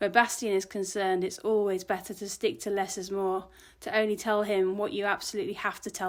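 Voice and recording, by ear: The text is read aloud. The delivery sounds natural.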